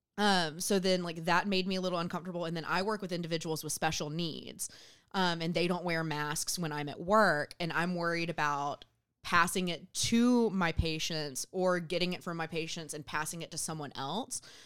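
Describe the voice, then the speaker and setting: In an American accent, a woman with an unremarkable speaking voice talks at a moderate pace and fairly low pitch, with fairly even intonation, in a very clean recording with a silent background. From US South, southwest Georgia. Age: 20s. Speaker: guest co-host. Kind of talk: casual chat. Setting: studio.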